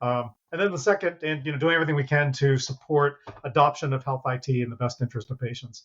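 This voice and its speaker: Speaking at a very fast pace, a man with a fairly high pitch uses ordinary pitch variation. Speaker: federal health IT official. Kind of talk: casual interview.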